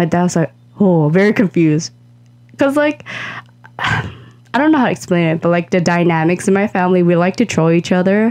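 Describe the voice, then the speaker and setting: Against noticeable background noise, a woman talks at a fairly quick pace with fairly low pitch and lively intonation. Her loudness is very even, and her pauses are long and frequent. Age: 20s. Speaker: podcast co-host. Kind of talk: casual chat.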